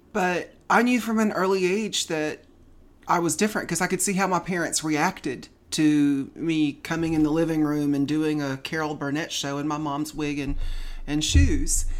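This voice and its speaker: A woman's very deep, low voice in a very clean recording with a silent background. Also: ordinary pitch variation, moderate pace. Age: 50s. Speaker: guest, friend of host. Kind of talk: casual chat, personal conversation.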